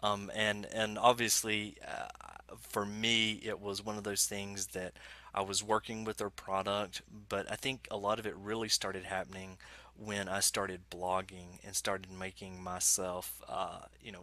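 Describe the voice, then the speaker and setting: Bright and sharp in tone, the voice carries an Alabama accent and a flat, monotone intonation. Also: man, fairly low pitch for a man, moderate pace, dry sound with no echo. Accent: Southern US (Alabama). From Alabama, US South. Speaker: software developer evangelist; guest. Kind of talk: casual interview chat. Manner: halting, many fillers and repeats. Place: home room.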